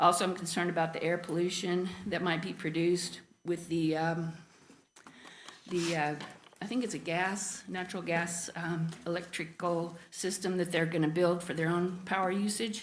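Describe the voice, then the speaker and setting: In an American accent, a woman speaks at a fairly low pitch with monotone, flat intonation and audible room echo. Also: moderate pace. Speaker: resident speaking at public comment. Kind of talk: public comment at council meeting. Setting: council chamber, public meeting. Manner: hesitant, many fillers.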